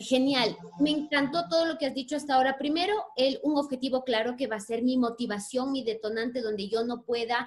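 A woman's fairly high voice, fairly even in intonation, at a fairly quick pace.

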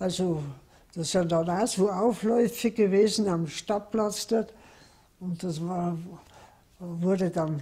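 Delivery is very slow and somewhat breathy, with fairly even intonation. The tone is dark and mellow. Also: woman. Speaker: contemporary witness. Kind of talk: interview answer.

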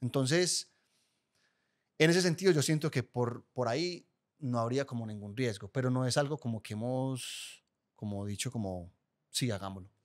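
In an Antioquian accent, a man speaks with long, frequent pauses over a quiet background. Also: medium pitch for a man, lively intonation, moderate pace. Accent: Colombian paisa (Antioquia). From Colombia, Guatapé (Antioquia); Antioquia, Colombia. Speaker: podcast producer. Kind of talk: casual chat. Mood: candid, reflective. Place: studio. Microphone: studio mic.

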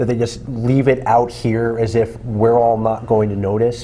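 A man at a moderate pace. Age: 40s. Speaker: magazine editor and co-host. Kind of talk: casual political discussion. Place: studio.

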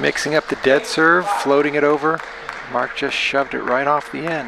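Crowd noise fills the background. A man speaks in an excited tone at a fairly high pitch. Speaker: play-by-play commentator. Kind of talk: live sports commentary. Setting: live table tennis event commentary. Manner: fast, excited play-by-play calling; clipped, staccato, rapidly calling each shot.

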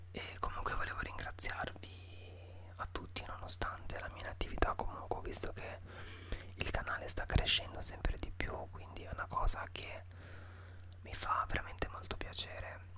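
A man whispering, with long, frequent pauses. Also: moderate pace. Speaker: youtuber. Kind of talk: casual vlog chat. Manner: soft close-mic ASMR murmur. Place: home room. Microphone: studio mic.

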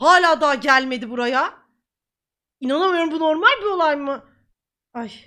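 A woman projects her raised voice at a high pitch, with a bright, sharp tone and ordinary pitch variation at a fairly quick pace. The recording is very clean, with a silent background. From Ankara, Turkey. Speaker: streamer. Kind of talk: live stream chat. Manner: animated; repetitive, laughing.

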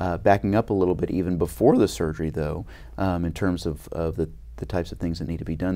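Very fast and very deep, a man talks with vocal fry, ordinary pitch variation and a dark, mellow tone against a quiet background. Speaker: head and neck surgeon. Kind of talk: interview. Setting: conference. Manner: frequent fillers and repetitions. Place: studio. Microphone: lapel.

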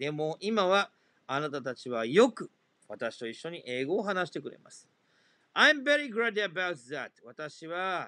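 A man with a high-pitched, bright, sharp voice talks at a fairly slow pace with very wide pitch swings, in a dry, close sound with no echo and a quiet background. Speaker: English exam tutor. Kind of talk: tutorial.

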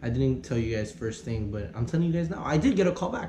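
An animated man with an American accent at a medium pitch, fairly quick in pace, with very wide pitch swings, audible room echo and noticeable background noise. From US South, Miami, Florida. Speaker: YouTuber. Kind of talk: casual reaction vlog. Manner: loud.

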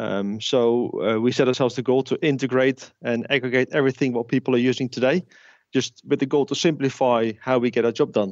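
A man's medium-pitched voice, fairly quick in pace, with fairly even intonation. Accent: Dutch. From Netherlands. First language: Dutch. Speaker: tech company founder and CEO. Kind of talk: interview. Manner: halting, with fillers and repetitions.

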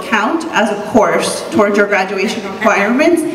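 Audible room echo and light background noise surround a woman who speaks at a moderate pace in a fairly high pitch, with ordinary pitch variation. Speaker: community organizer. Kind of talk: panel moderation. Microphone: handheld.

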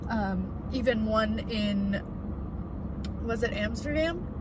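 A woman is speaking, with noticeable background noise around her. The sound is dry, with no echo. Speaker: vlogger. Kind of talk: casual vlog chat. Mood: relaxed, chatty. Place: car. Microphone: phone near.

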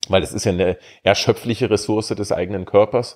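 With a very clean recording and a silent background, a man speaks at a fairly low pitch with ordinary pitch variation. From Saxony-Anhalt, Germany (Bitterfeld-Wolfen). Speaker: opera singer. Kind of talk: casual interview chat.

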